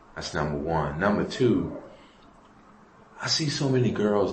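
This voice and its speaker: Audible room echo and noticeable background noise surround a man talking at a moderate pace. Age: 60s. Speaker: prison inmate. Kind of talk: interview. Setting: prison.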